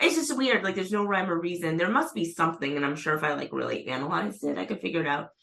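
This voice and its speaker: A woman with an American accent, very fast and with hardly any pauses, over noticeable background noise. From Massachusetts, US. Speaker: magazine editor and writer. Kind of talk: casual chat.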